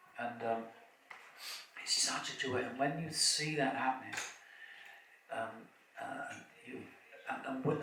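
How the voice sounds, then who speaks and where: A man's voice with audible room echo. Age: 70s. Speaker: kirtan leader and spiritual speaker. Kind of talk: festival opening talk. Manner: halting, with many fillers and repetitions.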